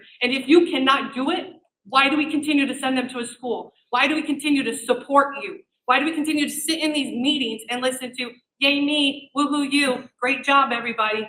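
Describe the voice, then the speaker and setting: A woman speaks in a raised, projected voice at a fairly quick pace. Her tone is bright and sharp, and her pitch is high. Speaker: parent speaking at public comment. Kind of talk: public comment at school board meeting. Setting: public meeting room without microphone. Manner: loud; animated.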